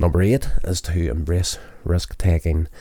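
This man's voice is very deep and low, with a dark, mellow tone. There is a somewhat breathy quality to it. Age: 40s. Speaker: podcast host and amateur filmmaker. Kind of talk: self-help monologue. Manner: reading list items.

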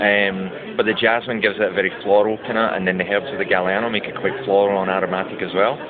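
A man with a Scottish accent speaks fairly quickly in a fairly low voice. Noticeable background noise is present. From Scotland. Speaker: brand ambassador and bartender. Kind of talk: interview. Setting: brand launch event.

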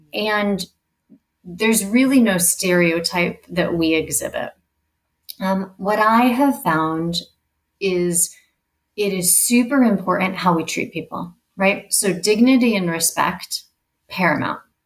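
A woman speaks at a fairly slow pace in a somewhat breathy, medium-pitched voice, with ordinary pitch variation and long, frequent pauses. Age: 40s. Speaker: HR executive. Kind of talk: interview.

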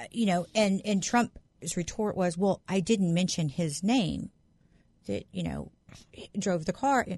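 At a fairly slow pace, a woman speaks in a somewhat breathy voice of medium pitch with ordinary pitch variation. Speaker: guest co-host sitting in. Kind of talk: casual political chat. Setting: studio.

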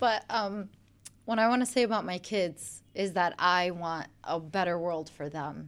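With a Chicago accent, a woman speaks at a fairly slow pace in a medium pitch with ordinary pitch variation, on a very clean recording with a silent background. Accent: Chicago American. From US Midwest, Chicago. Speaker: social media influencer. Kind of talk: radio interview. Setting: radio studio.

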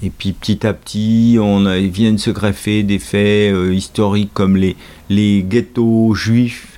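A man's very slow, monotone, flat delivery, fairly low in pitch, with a dark, mellow tone and very even loudness. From Normandy, France. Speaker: host's father, reader. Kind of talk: casual chat.

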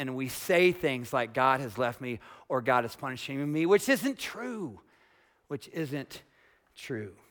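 A man with an American accent speaks at a very slow pace, medium in pitch with ordinary variation. The recording is very clean, with a silent background. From US, small farm town. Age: 40s. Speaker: pastor. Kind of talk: sermon. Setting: church with congregation. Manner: casual, conversational.

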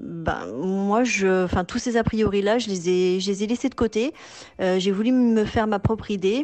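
A woman has an ordinary speaking voice at medium pitch, with ordinary pitch variation. She talks at a fairly slow pace with very even loudness. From Toulouse, southern France. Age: 40s. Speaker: expatriate mother. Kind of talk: testimony.

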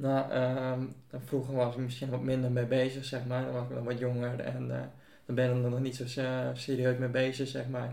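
Set in audible room echo, a man speaks at medium pitch in a dark, mellow tone with monotone, flat intonation. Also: moderate pace. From Buitenpost, Friesland, Netherlands. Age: young. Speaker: church member. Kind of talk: casual chat. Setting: at home.

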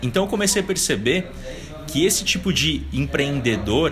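A man's pitch swings very widely as he talks at a moderate pace, with noticeable noise in the background. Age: 20s. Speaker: business consultant. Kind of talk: casual interview. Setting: coworking space.

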